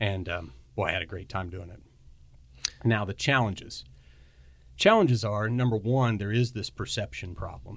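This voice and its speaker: Delivered at a moderate pace with ordinary pitch variation, the speech has long, frequent pauses and big swings in loudness. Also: man, fairly low pitch for a man. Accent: Midwestern American. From rural northwest Missouri. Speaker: hospital association executive. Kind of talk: podcast interview.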